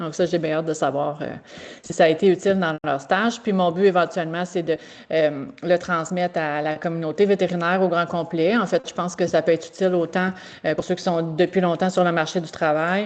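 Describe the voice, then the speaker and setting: Fairly quick, fairly low-pitched female speech with fairly even intonation. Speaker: veterinary technician teacher. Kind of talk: presentation. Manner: halting.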